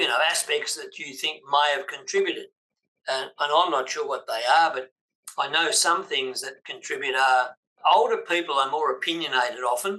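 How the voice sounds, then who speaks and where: The speaker goes at a moderate pace with an Australian accent. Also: man. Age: 80s+. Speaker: business coach. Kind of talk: interview.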